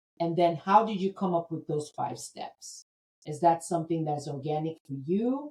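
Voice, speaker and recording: A woman with an American accent speaks at a moderate pace in a fairly low, dark, mellow, somewhat breathy voice, with ordinary pitch variation and big swings in loudness. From United States. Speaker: podcast host. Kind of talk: podcast interview.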